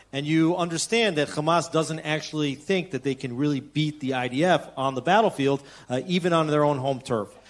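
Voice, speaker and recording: A man talks in an ordinary speaking voice at a moderate pace, pitched fairly high with ordinary pitch variation. He leaves hardly any pauses. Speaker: panel moderator. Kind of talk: panel discussion. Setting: stage with audience. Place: hall.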